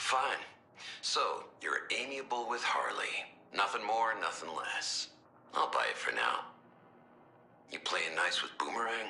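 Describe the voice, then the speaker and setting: A man puts on a gruff character voice. He goes at a fairly slow pace with long, frequent pauses. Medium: video game. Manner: gruff, blunt.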